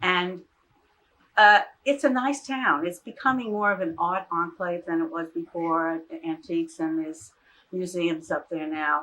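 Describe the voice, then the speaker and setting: A woman's bright, sharp tone with lively intonation at a fairly slow pace, in a very clean recording with a silent background. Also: fairly low pitch for a woman. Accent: New York. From New York City area, Far Rockaway, Queens. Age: 80s+. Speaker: retired teacher. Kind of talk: oral history interview.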